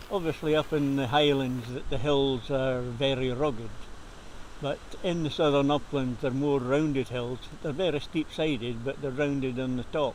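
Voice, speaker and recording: A man in a southern Scottish accent, fairly high in pitch, at a moderate pace with fairly even intonation, against noticeable background noise. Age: 70s. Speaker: local walker. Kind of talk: interview.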